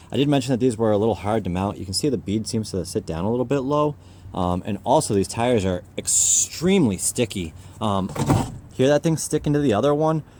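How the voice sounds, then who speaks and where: Against noticeable background noise, a man of medium pitch talks at a fairly quick pace with lively intonation. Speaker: off-road tire reviewer. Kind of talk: product review while driving. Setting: in a truck on highway. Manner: casual, hesitant with fillers.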